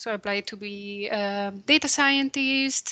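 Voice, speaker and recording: In a Spanish accent, a woman speaks with a bright, sharp tone and fairly even intonation, the sound dry and close with no echo. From Spain. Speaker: computational biologist. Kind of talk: career talk presentation.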